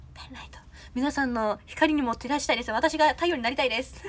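At a very fast pace, the speaker talks with a Kansai accent in an animated tone. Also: woman. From Osaka. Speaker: idol trainee; idol trainee livestreamer. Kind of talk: livestream chat with viewers. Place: home room. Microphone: phone near.

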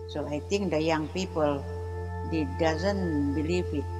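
A woman speaks at a very slow pace. Music plays clearly in the background. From Penampang, Sabah, East Malaysia. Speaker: keeper of traditional knowledge. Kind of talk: interview answer. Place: garden.

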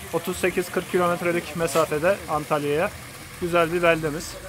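There is noticeable background noise, though the sound itself is dry with no echo. A man with a high pitch talks at a moderate pace in a monotone, flat intonation. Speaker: cyclist vlogger, tour host. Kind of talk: casual talk to camera, vlog narration. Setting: outdoors, by a stream. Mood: cheerful, upbeat. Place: waterside. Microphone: phone near.

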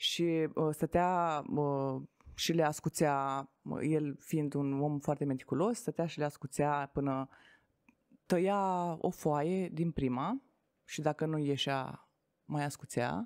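Against a quiet background, a woman with a very deep, low pitch speaks very slowly, her pitch varying in an ordinary way. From Romania, Tecuci, Galați county; Romania. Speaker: network marketing entrepreneur; podcast guest. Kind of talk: interview. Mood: calm, reflective storytelling. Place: studio. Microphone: studio mic.

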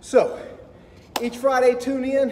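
There is light background noise as a man talks. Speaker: guitar teacher giving a fitness tip. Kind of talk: tutorial. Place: gym. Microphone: camera far.

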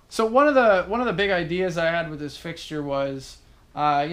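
A man's voice sits high in pitch, moving at a moderate speed. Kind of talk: casual tutorial explanation. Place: workshop. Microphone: phone near.

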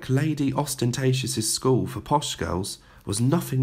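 A natural voice reading text aloud

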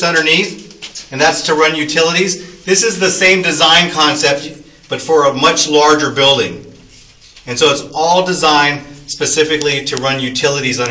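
A man's voice at a moderate pace with ordinary pitch variation, audible room echo and light background noise. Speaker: tunnel tour guide. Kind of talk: guided tour explanation. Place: tunnel cave. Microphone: camera far.

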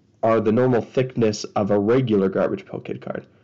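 Quietly, a man speaks at a medium pitch with a dark, mellow tone. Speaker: card collector YouTuber. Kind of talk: pack opening video. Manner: casual.

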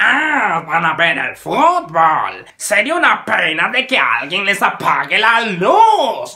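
A man puts on a character voice, raised and projected, pitched high with very wide pitch swings. He goes at a very slow pace with hardly any pauses.

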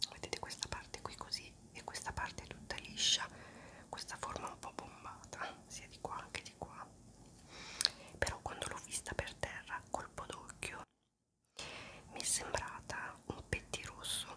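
A woman whispers at a fairly slow pace, with long, frequent pauses. Her loudness swings widely. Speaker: ASMR creator. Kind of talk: ASMR whispered talk to camera. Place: home room. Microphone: phone near.

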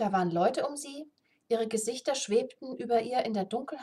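The reading voice sounds unforced. Behind it, all is quiet.

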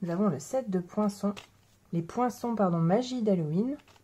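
Fairly slow and somewhat breathy, a woman speaks in a dark, mellow tone with ordinary pitch variation. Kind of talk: tutorial.

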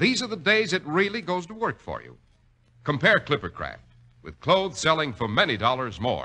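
A man's bright, sharp voice with vocal fry, very wide pitch swings and big swings in loudness. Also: moderate pace. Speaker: radio announcer. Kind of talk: radio commercial and announcer narration. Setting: studio. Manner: smooth, polished, formal sales-pitch delivery. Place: studio. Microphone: old recording.

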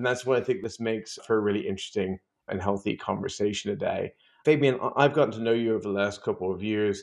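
A man talks at a very fast pace with ordinary pitch variation over a quiet background. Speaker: podcast host. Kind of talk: podcast interview. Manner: enthusiastic. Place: home room.

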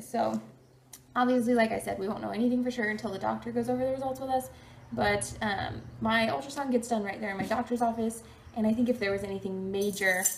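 A woman talks at a fairly quick pace in a somewhat breathy voice, with light background noise. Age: 20s. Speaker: vlogger. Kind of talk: casual talk to camera. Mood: cheerful, upbeat. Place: home room.

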